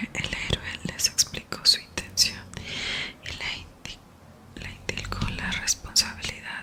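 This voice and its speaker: Over noticeable background noise, a woman speaks in a whisper. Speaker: ASMR creator. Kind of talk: ASMR whispered reading. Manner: whispered.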